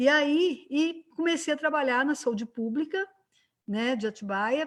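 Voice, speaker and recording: A woman with a Minas Gerais accent, lively intonation and a fairly slow pace. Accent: Minas Gerais (mineiro). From Brazil, Minas Gerais (Juiz de Fora). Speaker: physician and lecturer, civic council member. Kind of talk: online panel discussion. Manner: conversational, many fillers (né).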